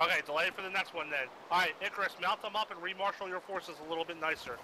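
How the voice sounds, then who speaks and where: Talking at a very fast pace, a man uses a high pitch and fairly even intonation. Noticeable background noise is present. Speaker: military convoy instructor. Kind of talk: lecture.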